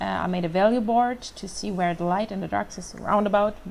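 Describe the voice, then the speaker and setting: This woman has a German accent and a medium pitch. She keeps a moderate pace with ordinary pitch variation. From Germany, Hamburg. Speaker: freelance artist. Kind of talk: commented painting tutorial. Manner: halting, many fillers.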